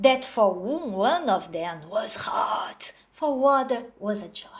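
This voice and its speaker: A high-pitched woman's voice in a Brazilian accent, with very wide pitch swings. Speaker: storyteller. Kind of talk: storytelling. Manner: animated, expressive.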